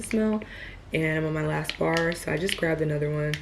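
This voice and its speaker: Noticeable background noise surrounds a woman talking at a very fast pace. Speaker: vlogger. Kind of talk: casual vlog chat. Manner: casual, chatty; whispering.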